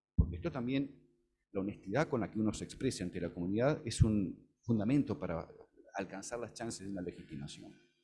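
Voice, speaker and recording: A man with a fairly low pitch talks at a fairly quick pace, his intonation lively and his loudness swinging widely, over music in the background. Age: 60s. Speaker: law professor, panel speaker. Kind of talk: conference talk. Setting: auditorium with audience.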